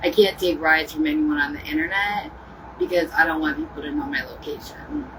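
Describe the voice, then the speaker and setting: Noticeable background noise behind fairly quick speech. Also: woman. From Ohio. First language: American Sign Language. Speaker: livestreamer. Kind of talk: casual chat.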